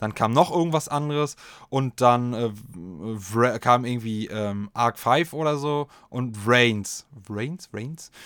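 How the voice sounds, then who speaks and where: Recorded very cleanly against a silent background, a man's medium-pitched voice sounds dry and close with no echo and shows ordinary pitch variation. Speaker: podcast host. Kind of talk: casual solo chat. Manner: animated.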